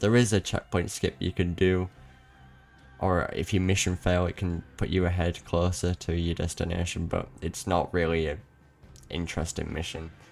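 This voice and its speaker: Music can be heard in the background. The speaker talks at a moderate pace. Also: man. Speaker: speedrunner. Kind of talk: casual gaming commentary. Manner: casual, rambling.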